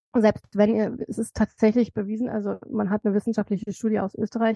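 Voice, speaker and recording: A woman speaks with a dark, mellow tone, somewhat breathy. The background is quiet. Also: dry, close sound with no echo. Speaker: author and cancer survivor. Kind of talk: interview, personal testimony.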